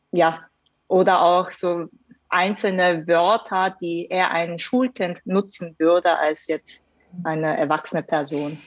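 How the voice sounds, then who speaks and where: Her pace is very slow. The woman's fairly low voice keeps a fairly even intonation. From Hannover, Germany (from South Korea at nine). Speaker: management consultant. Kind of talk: podcast interview. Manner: hesitant, many fillers.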